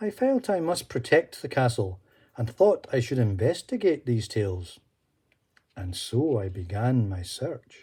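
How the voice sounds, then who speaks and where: A man's somewhat breathy voice with a dark, mellow tone, very wide pitch swings and a fairly slow pace. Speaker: storyteller. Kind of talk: children's story reading.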